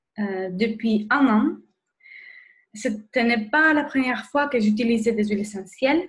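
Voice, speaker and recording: A very slow woman's voice, fairly high in pitch. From Spain. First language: Spanish (speaking French). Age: 30s. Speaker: nurse and wellness blogger. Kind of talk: webinar presentation. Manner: hesitant, many fillers.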